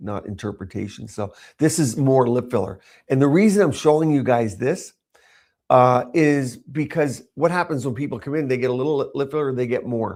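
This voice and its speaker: With a normal speaking voice and lively intonation, a man talks at a moderate pace on a very clean recording with a silent background. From Canada. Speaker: cosmetic doctor. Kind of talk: live-streamed presentation. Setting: livestream.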